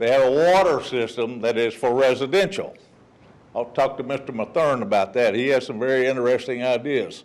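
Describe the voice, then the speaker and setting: With a Texan accent, a man talks at a fairly quick pace in a medium pitch, with ordinary pitch variation. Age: 60s. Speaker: resident speaking at public comment. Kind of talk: public comment at council meeting. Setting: city council meeting. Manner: casual, folksy.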